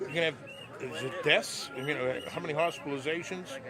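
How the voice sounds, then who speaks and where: Noticeable background noise sits behind a man's speech. His pitch moves with ordinary variation. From Pittsburgh area, western Pennsylvania. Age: 60s. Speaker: rally attendee interviewed on the street. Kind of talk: street interview. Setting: outdoors at political rally. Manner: halting, repeats words.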